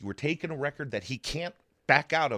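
A man speaks with an American accent. The recording is very clean and dry, close-miked with no echo and a silent background. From western Pennsylvania (Zelienople). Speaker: state house candidate. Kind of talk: interview.

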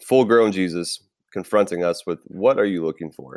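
A man with an American accent and a plain, everyday voice talks at a fairly low pitch and a moderate pace with ordinary pitch variation, in a dry, close sound with no echo and a very clean recording with a silent background. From Tampa Bay, Florida. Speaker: teacher and campus minister, podcast co-host. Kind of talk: casual chat. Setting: recording at home early morning.

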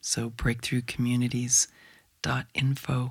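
A woman's very deep, low voice with an American accent at a fairly slow pace. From southern California border region. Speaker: eco-psychologist. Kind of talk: interview conversation. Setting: studio.

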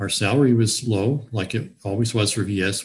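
A man with a fairly low pitch speaks at a moderate pace in a somewhat breathy voice. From Virginia, US South (Newport News). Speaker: retired physician. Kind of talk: interview. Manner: halting.

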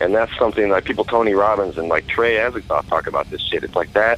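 A man speaks at a fairly quick pace with an American accent. Background noise is noticeable. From US Pacific Northwest (Oregon, Idaho). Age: 30s. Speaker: metal musician and record label owner. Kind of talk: interview. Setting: phone call.

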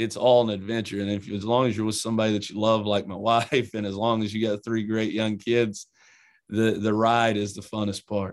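Here a man speaks with an Eastern Kentucky accent at a medium pitch. The recording is very clean, with a silent background. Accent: Eastern Kentucky country. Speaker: college basketball head coach. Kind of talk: interview.

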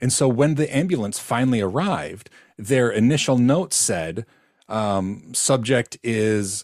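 A man's unremarkable speaking voice at medium pitch and a fairly slow pace. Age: 40s. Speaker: podcast co-host, tech worker. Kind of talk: casual chat. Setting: video call.

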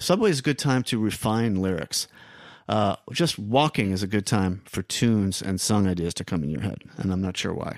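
A man with a plain, everyday voice and an American accent speaks at a moderate pace in a fairly low pitch, his intonation lively, on a very clean recording with a silent background and a dry, close sound free of echo. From New York City (Queens). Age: 50s. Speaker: songwriter and musician. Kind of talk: casual chat.

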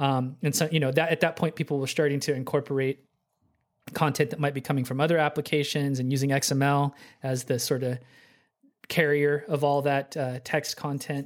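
A man's fairly high-pitched voice with an American accent, monotone and flat in intonation, at a fairly quick pace. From Oklahoma City, US. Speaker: software developer. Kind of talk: casual interview. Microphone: good podcast mic.

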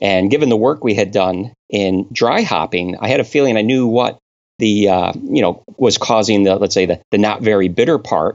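A man with an American accent talks with a fairly low pitch and ordinary pitch variation. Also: moderate pace, very even loudness. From US Northeast, Connecticut. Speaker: brewing scientist. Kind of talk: interview. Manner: hesitant, many fillers.

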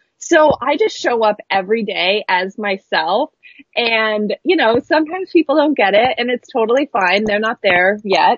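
Speaking with an American accent, a woman uses a fairly high pitch and lively intonation at a moderate pace. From Oregon coast, US. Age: 30s. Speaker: digital branding and spiritual coach. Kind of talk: casual interview.

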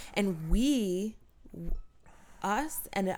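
Lively intonation marks the speech. Music can be heard behind it. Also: woman. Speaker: podcast co-host. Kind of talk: casual banter, comedic chat. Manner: soft-spoken, joking.

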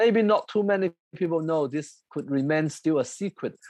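A man with a Chinese accent speaks at a moderate pace, his pitch swinging very widely. The sound is dry and close with no echo, over a quiet background. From China. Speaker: composer. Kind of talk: interview conversation.

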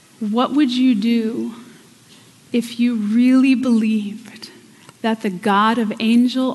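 An American accent in monotone, flat intonation at a very slow pace, with audible room echo and noticeable background noise. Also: woman. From Pennsylvania. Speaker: guest preacher. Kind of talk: sermon. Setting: church.

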